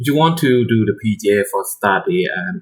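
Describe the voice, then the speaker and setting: A man speaks with a non-native accent. His voice is somewhat breathy. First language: not English. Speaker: shogi streamer. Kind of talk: casual live-stream chat. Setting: live stream. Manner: halting, repeating words.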